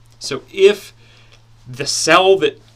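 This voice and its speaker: A man talks here. Noticeable noise can be heard behind him. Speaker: online course instructor. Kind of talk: software tutorial. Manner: casual.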